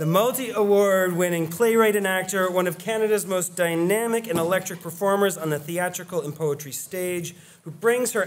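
A man's high-pitched voice at a moderate pace with ordinary pitch variation. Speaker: conference host. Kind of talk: speaker introduction. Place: hall.

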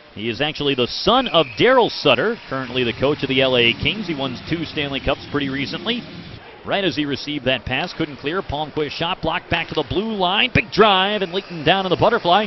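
Male speech at a fairly quick pace with lively intonation, a dry sound with no echo, and noticeable background noise. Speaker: hockey play-by-play announcer. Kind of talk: live sports commentary (hockey play-by-play). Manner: fast, excitable, rising pitch on goals; clipped, rapid-fire play-by-play delivery. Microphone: headset.

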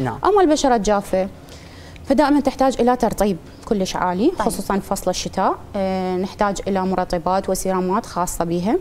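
At a moderate pace, a woman talks over light background noise. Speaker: guest. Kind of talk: interview answer. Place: studio. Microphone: lapel.

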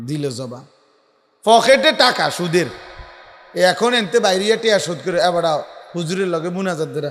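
Lively intonation and an animated tone, with audible room echo. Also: man, high pitch for a man. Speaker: Islamic preacher. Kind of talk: sermon.

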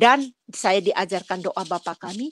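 Against a quiet background, a woman speaks with lively intonation in a dry, close sound without echo. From Nias, Indonesia. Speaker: churchgoer giving testimony. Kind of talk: testimony. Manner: halting.

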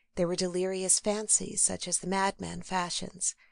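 The woman speaks at medium pitch. Her pace is moderate. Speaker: audiobook narrator. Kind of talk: dramatic gothic horror narration read aloud. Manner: brooding, ominous build of dread over lush lists; measured, theatrical pacing with spine-tingling emphasis.

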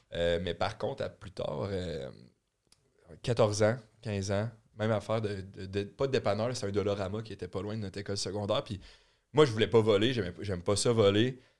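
A man speaks at a moderate pace with a fairly low pitch and ordinary pitch variation. His speech has long, frequent pauses. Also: quiet background. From Quebec. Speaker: podcast co-host. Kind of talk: casual chat. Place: studio. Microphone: studio mic.

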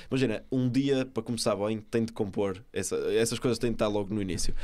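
A man talks at a very fast pace in a fairly low voice. His intonation stays fairly even. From Portugal. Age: young. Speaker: young entrepreneur; podcast guest. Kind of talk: podcast interview. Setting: studio. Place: studio. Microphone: studio mic.

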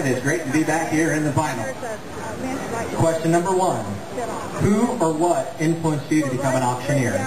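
With an American accent, a man talks at a fairly quick pace with long, frequent pauses against noticeable background noise. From Iowa, USA. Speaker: auctioneer, contest finalist. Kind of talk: interview answer. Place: stage.

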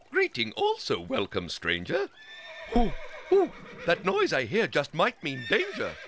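A put-on, sing-song character voice at a fairly slow pace with long, frequent pauses. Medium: audio drama. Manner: sing-song, rhyming.

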